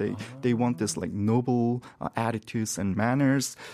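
Medium pitch from a male speaker, on a very clean recording against a silent background. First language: Korean. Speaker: English expression expert. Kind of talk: educational explanation.

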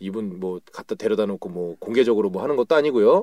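A man's dark, mellow tone at a very fast pace, in a dry, close sound with no echo. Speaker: co-host. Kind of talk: casual banter podcast.

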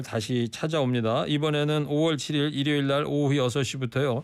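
The recording is very clean with a silent background as a man speaks very slowly at a fairly high pitch. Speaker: radio host. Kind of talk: radio talk show. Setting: studio. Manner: animated.

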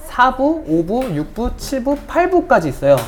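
A woman's very slow speech with very wide pitch swings. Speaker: podcast panelist. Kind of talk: casual chat.

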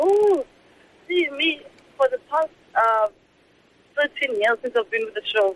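Pitched extremely high for a man and swinging very widely, his speech moves at a fairly slow pace with long, frequent pauses. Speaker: assistant director and performer. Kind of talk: interview about the show. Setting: phone call. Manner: animated, enthusiastic.

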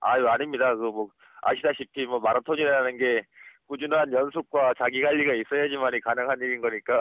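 Here a man talks in a medium pitch. His intonation is flat and monotone, with very even loudness. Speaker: special forces soldier and amateur marathon runner. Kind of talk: phone interview. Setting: phone call from office. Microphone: phone line volume drops at times.

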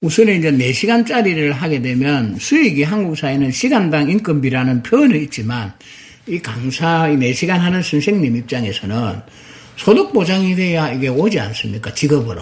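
A man speaks at a fairly high pitch with very wide pitch swings. Noticeable background noise runs under his voice. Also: moderate pace. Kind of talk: interview.

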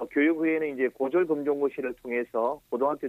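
A man speaks in a plain, everyday voice at medium pitch and a moderate pace, with a dry, close sound and no echo. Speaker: support center director. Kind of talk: radio interview.

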